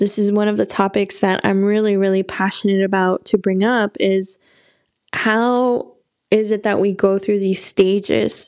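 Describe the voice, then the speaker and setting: A woman talks at medium pitch in a monotone, flat intonation on a very clean recording with a silent background. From Mexican-American, US. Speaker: book club podcast host. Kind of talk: solo podcast book discussion.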